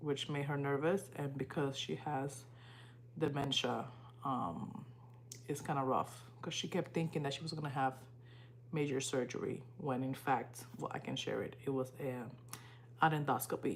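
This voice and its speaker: A woman's very deep, low voice with a Spanish accent, somewhat breathy and fairly even in intonation, with long, frequent pauses. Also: moderate pace. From Dominican Republic. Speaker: livestreamer and student. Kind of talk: casual livestream chat.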